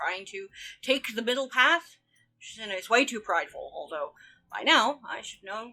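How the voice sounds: Quiet surroundings behind a natural reading voice.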